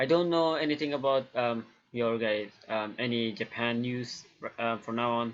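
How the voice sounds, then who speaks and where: A man talks at a moderate pace with a medium pitch. His pitch variation is ordinary. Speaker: YouTuber, hobby animator. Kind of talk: casual vlog monologue. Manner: halting, many fillers.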